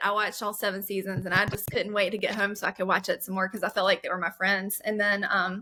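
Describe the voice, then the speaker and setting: A woman with an American accent speaks very fast at medium pitch in a bright, sharp tone. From South Carolina. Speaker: webinar host. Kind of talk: casual chat. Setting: webinar.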